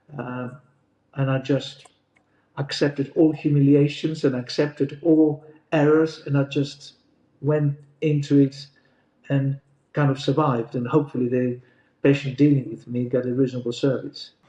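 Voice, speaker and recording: Monotone, flat delivery in a Greek accent, with a dark, mellow tone and long, frequent pauses. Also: man, fairly high pitch for a man, moderate pace. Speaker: GP partner. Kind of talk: interview.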